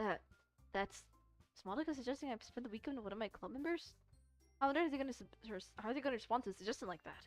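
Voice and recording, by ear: Over faint background music, a woman talks at a fast pace in a fairly high voice with lively intonation.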